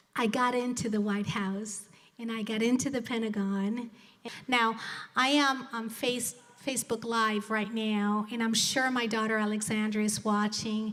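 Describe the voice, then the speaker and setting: A woman with a Spanish accent, fairly high pitch and monotone, flat intonation at a fairly slow pace, with noticeable background noise and audible room echo. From Colombia (Bogota), moved to US at 12. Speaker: business executive and motivational speaker. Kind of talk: motivational speech. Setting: stage with live audience, streamed.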